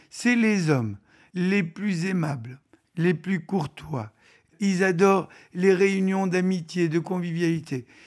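In a very clean recording with a silent background, a man with a high pitch speaks at a very slow pace, leaving long, frequent pauses. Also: ordinary pitch variation. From Tunisia (pied-noir). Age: 70s. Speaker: business founder. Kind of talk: interview.

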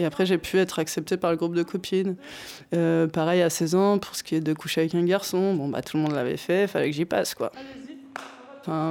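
Here a woman talks at a fairly low pitch with ordinary pitch variation. Her pace is fairly quick. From Normandy, France. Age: 30s. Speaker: boxer, former prisoner. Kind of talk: testimony. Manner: hesitant.

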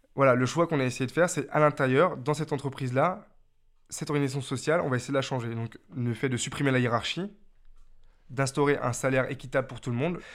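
A man's fairly high voice at a very fast pace, fairly even in intonation, on a very clean recording with a silent background. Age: 20s. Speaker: carpenter. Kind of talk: documentary interview.

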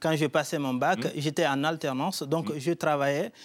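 Speaking at a fairly slow pace, a man with a fairly high pitch shows ordinary pitch variation on a very clean recording with a silent background. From Guinea. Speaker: poet and writer. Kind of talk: TV studio interview. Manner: hesitant, with fillers.

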